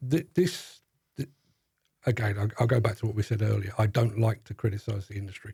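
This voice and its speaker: A man with a London accent, fairly low and somewhat breathy, dark and mellow in tone, with ordinary pitch variation at a fairly quick pace. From South London. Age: 60s. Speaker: demolition industry journalist. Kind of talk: podcast interview. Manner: halting, repeats words.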